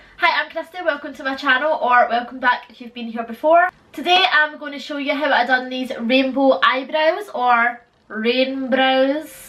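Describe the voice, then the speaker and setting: Speaking at a fairly slow pace with big swings in loudness, a woman with a high pitch and ordinary pitch variation is heard over noticeable background noise. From Scotland. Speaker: beauty vlogger. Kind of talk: tutorial. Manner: casual, chatty.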